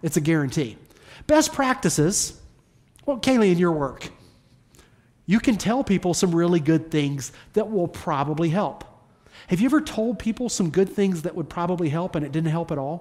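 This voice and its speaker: Speaking at a moderate pace with a Southern US accent, the speaker leaves long, frequent pauses. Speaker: pastor. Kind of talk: sermon. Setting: church. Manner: informal, humorous.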